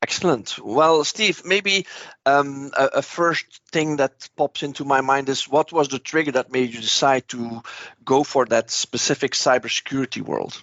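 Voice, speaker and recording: Someone with a Dutch accent talks at a moderate pace with ordinary pitch variation. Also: man, fairly high pitch for a man. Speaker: podcast host. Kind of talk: interview.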